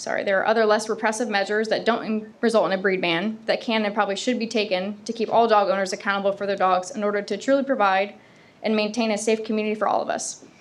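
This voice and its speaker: At a very fast pace, a woman speaks at a fairly high pitch in a monotone, flat intonation. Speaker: law enforcement officer giving public comment. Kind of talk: public comment at city council meeting.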